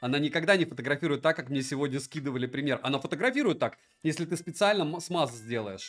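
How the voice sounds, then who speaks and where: Faint music plays in the background as a man with a fairly high pitch speaks at a fairly quick pace with lively intonation. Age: 40s. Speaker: tech reviewer streamer. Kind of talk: live stream review. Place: home room.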